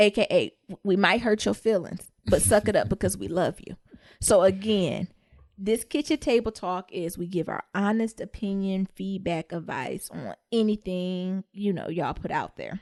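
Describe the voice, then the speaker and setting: In an ordinary speaking voice with an American accent, a woman talks at a medium pitch and moderate pace, with ordinary pitch variation and big swings in loudness, in a dry, close sound with no echo over a quiet background. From US Midwest. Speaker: podcast co-host. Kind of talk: casual chat.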